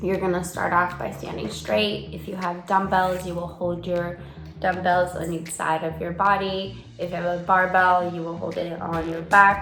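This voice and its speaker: A soft-spoken woman with a fairly low pitch talks at a moderate pace in a monotone, flat intonation, with noticeable background noise and audible room echo. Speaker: fitness vlogger. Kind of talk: workout tutorial.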